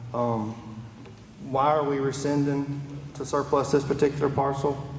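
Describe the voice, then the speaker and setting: A soft-spoken man talks at a moderate pace, his pitch fairly high and his intonation monotone and flat. The room echoes audibly, and background noise is noticeable. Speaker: county commissioner. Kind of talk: public meeting discussion. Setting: public meeting hall with PA speakers. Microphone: far from the mic.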